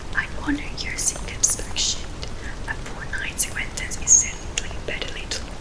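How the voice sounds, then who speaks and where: A woman whispering at a moderate pace in a calm, gentle tone, with big swings in loudness and noticeable background noise. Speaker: ASMR artist. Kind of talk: audiobook-style reading of a classic novel, with different voices for characters. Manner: soft-spoken, calm, gentle.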